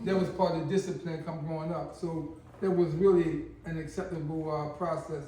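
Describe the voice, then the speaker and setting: Speaking at a moderate pace with monotone, flat intonation, a man with a high pitch is heard amid audible room echo. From Baltimore, Maryland (Park Heights). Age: 60s. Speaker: former long-term prisoner. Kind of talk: interview storytelling.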